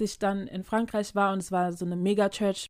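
The recording is very clean, with a silent background. A woman with an ordinary speaking voice talks at a moderate pace and a medium pitch. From Germany, Ghanaian community. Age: young adult. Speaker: podcast co-host. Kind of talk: casual chat.

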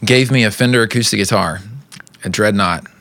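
Speaking at a fairly quick rate, a man keeps his intonation fairly even. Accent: Texan. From East Texas. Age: 30s. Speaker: musician. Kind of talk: casual chat.

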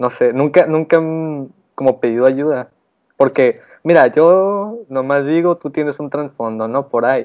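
Over a quiet background, a man with a fairly high voice talks at a fairly slow pace. His pitch varies in an ordinary way, broken by long, frequent pauses. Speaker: podcast host. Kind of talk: casual chat.

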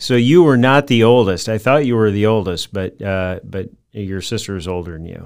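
A man with a fairly low pitch talks at a moderate pace with hardly any pauses, in an ordinary speaking voice. His intonation is lively, and his loudness swings widely. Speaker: podcast host. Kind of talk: casual interview. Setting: video call.

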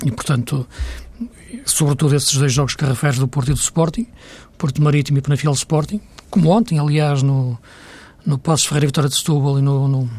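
A man's somewhat breathy, fairly high voice at a fairly quick pace, with very even loudness, fairly even intonation and long, frequent pauses. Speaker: football pundit. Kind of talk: casual chat.

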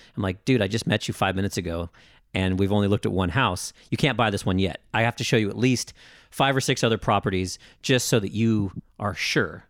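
A man with an ordinary speaking voice talks at a fairly quick pace, his pitch fairly low and its variation ordinary. The recording is very clean, with a silent background. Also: dry, close sound with no echo. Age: 30s. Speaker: real estate agent. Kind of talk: casual chat. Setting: studio.

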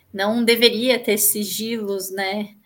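A woman speaks at a very slow pace, her intonation monotone and flat. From São Paulo, Brazil (East Zone). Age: 30s. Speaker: public policy manager. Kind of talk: interview.

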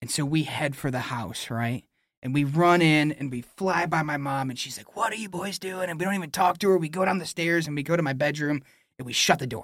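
A man talks in a plain, everyday voice at a moderate pace, fairly high in pitch with ordinary pitch variation. The recording is very clean, with a silent background. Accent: American. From Michigan, Oceana County. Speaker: pastor. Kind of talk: casual chat.

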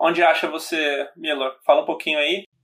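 A man's high voice at a fairly slow pace. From Brazil, São Paulo (born in Bahia). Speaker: podcast host and startup founder. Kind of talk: casual interview chat.

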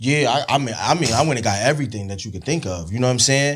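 With an American accent, a man speaks at a medium pitch with lively intonation. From New Jersey, East Orange. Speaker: studio owner. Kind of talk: casual chat.

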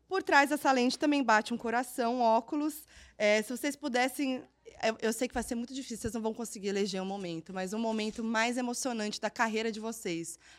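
A woman speaks at a fairly quick pace with a fairly high pitch. Her tone is animated, with ordinary pitch variation. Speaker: presenter and journalist. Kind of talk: interview.

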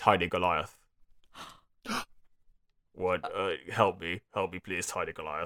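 In a put-on character voice, the speaker mumbles in a very deep, low pitch at a fairly slow pace. Long, frequent pauses break up the speech. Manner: mumbled, weak.

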